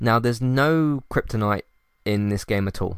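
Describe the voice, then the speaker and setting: A man talks with a British accent and ordinary pitch variation. The recording is very clean, with a silent background. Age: 20s. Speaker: video game reviewer. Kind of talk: solo review monologue. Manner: hesitant, many fillers and restarts.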